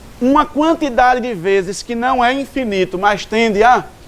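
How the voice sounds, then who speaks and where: A man speaking at a fairly slow pace, with lively intonation. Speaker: maths teacher. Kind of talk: lecture.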